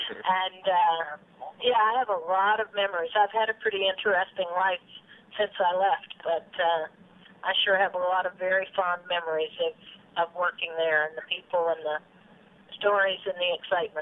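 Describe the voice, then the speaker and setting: With an American accent, a woman of medium pitch speaks at a moderate pace with fairly even intonation. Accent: faint southern accent coming back. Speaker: former radio news reporter and city council member. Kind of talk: interview.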